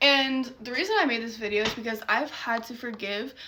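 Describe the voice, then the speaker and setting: A high-pitched woman at a fairly quick pace, with ordinary pitch variation and noticeable background noise. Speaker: mindset coach. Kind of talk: motivational short talk. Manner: fast; animated.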